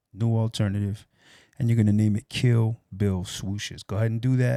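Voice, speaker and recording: A quiet man's voice, fairly low-pitched with a dark, mellow tone and fairly even intonation, in a dry, close sound with no echo and a very clean recording with a silent background. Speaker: audio production tutor. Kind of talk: tutorial. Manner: speaking low, quiet.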